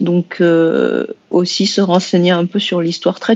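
Female voice, fairly low, delivered in a monotone, flat intonation. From France, Vietnamese diaspora family. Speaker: science fiction and fantasy author. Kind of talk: roundtable discussion.

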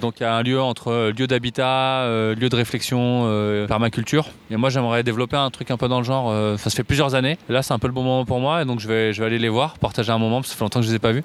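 A man's medium-pitched voice, very fast and monotone with flat intonation. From France, Paris. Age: 30s. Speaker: public digital services worker. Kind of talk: casual chat.

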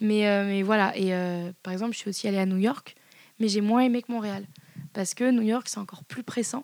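The speech moves at a fairly quick pace with fairly even intonation. There are long, frequent pauses. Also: woman, fairly high pitch for a woman. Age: 20s. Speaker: Parisian art lover interviewee. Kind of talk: casual interview chat. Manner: hesitant, many fillers.

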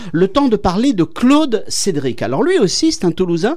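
Through noticeable background noise, the speaker proceeds at a fairly slow pace. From northern France. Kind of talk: radio chronicle read from notes.

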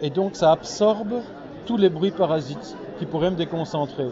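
Over crowd noise and audible room echo, a man speaks at a fairly slow pace. His voice is high, with ordinary pitch variation. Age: 60s. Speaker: comic book author and publisher. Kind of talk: interview. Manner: hesitant with repetitions.

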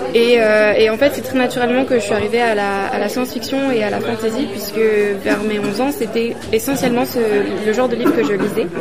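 Over crowd noise and audible room echo, a woman talks at a very fast pace with a fairly high pitch and ordinary pitch variation. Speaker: interpreter. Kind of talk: consecutive interpretation into French. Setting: busy press room at a festival. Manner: halting, with repetitions.

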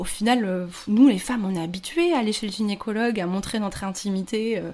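Here a woman speaks with a fairly high voice. Her pitch varies in an ordinary way. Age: 30s. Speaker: podcaster and freelancer sharing her infertility story. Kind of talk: casual interview. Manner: hesitant, many fillers.

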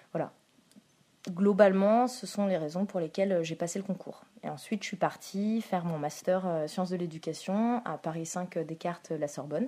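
This woman has a dark, mellow tone at medium pitch, speaking at a moderate pace with ordinary pitch variation. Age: 20s. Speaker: school counsellor (CPE). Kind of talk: interview. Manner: halting, with fillers.

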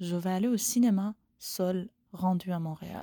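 At a medium pitch with ordinary pitch variation, a woman speaks in a dark, mellow tone in a very clean recording with a silent background and a dry, close sound with no echo. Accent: Persian. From Iran. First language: Persian (speaking French). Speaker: animation filmmaker. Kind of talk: recorded voice message. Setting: basement studio. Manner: halting.

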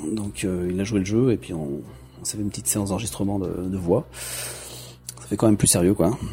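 A man talks at a moderate pace in a very deep, low voice. His loudness swings widely. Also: lively intonation. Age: 40s. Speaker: amateur game developer. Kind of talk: personal testimony.

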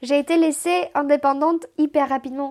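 Woman with a Romanian accent, high in pitch, fairly slow and fairly even in intonation, on a very clean recording with a silent background. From Moldova (Chisinau). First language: Romanian (speaking French). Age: 20s. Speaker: immigrant telling her life story. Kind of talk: casual chat.

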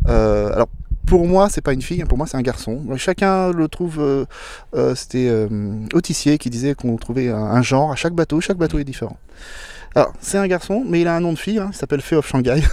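In a very clean recording with a silent background, a man speaks at a fairly high pitch with a dark, mellow tone and lively intonation. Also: moderate pace. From France, Loire Valley (Blois). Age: 50s. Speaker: solo sailor. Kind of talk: interview. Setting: outdoors on a boat in port.

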